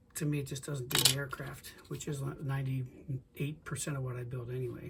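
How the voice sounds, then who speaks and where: A somewhat breathy man at a medium pitch, talking at a fairly quick pace. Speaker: scale model builder. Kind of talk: tutorial. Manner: halting, stuttering; casual.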